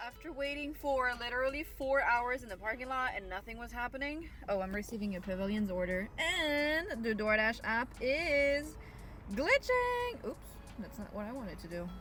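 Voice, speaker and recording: Noticeable background noise sits behind a woman with a high pitch. She talks at a moderate pace with lively intonation. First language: French. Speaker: food delivery driver vlogger. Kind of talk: casual vlog talk while driving.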